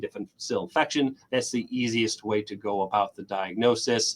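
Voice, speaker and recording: The man's delivery moves at a fairly quick pace. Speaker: physician researcher. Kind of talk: lecture. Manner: fast.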